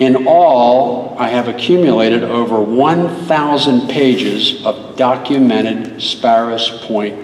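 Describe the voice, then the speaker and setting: A man's medium-pitched voice, with ordinary pitch variation, comes through audible room echo and noticeable background noise. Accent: American. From Maryland, Baltimore area. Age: 70s. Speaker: local historian and author. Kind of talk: school assembly speech. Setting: school assembly hall with audience.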